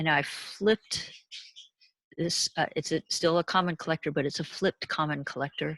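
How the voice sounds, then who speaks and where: A woman's ordinary speaking voice, fairly low in pitch with fairly even intonation and a moderate pace, in a dry, close sound with no echo. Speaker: university lecturer. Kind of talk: lecture.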